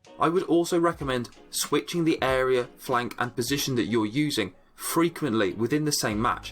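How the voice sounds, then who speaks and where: Over music in the background, a man speaks at a medium pitch and a moderate pace, with very even loudness, ordinary pitch variation and hardly any pauses. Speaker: gaming guide creator. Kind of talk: game tutorial narration.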